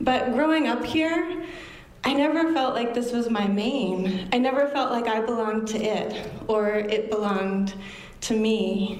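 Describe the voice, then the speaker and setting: Over noticeable background noise and audible room echo, a woman with a fairly high pitch talks at a fairly slow pace with very even loudness. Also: ordinary pitch variation. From Maine, Bucksport and Orland. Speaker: storyteller, yoga teacher. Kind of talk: storytelling performance. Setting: stage with audience.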